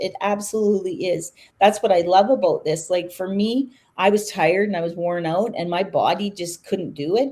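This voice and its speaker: Speaking at a fairly slow pace, a woman uses a medium pitch with ordinary pitch variation and a dark, mellow tone. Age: 60s. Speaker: online business owner hosting a live chat. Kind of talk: casual chat.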